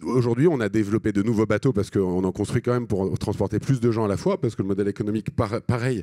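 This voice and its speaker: This man talks at a very fast pace with a medium pitch and a dark, mellow tone. The recording is very clean with a silent background and a dry, close sound with no echo. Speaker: social entrepreneur. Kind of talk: conference talk. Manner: halting.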